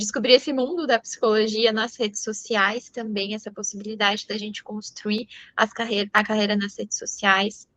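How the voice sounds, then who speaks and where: A woman with a São Paulo interior accent, a fairly high pitch, a bright, sharp tone, fairly even intonation and a moderate pace. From interior of São Paulo state, Brazil (Sorocaba). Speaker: psychologist. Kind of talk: talk to an audience.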